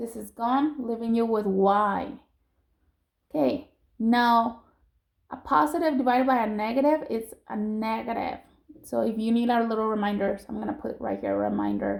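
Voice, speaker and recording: A woman's fairly high voice at a moderate pace, with ordinary pitch variation and a normal speaking voice. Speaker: math teacher. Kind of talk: recorded lesson for students.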